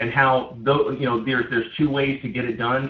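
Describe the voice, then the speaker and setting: This man talks at a very fast pace. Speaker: network marketing team leader. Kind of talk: conference call training. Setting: conference call. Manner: animated.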